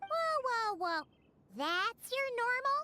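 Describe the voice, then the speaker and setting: In a put-on character voice, the speaker sounds squeaky at an extremely high pitch. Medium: video game. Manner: excitable, exclamatory.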